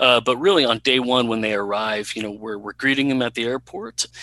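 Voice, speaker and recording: This man has an unremarkable speaking voice, recorded with a dry, close sound and no echo. He keeps a moderate pace and fairly even intonation. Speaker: refugee resettlement office worker. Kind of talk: interview answers. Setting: video call.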